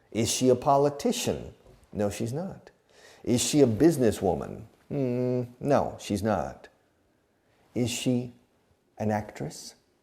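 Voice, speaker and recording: A man with an American accent at a very slow pace, dark, mellow tone and medium pitch, lively intonation, long, frequent pauses, and audible room echo. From Texas. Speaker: English teacher. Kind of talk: lecture.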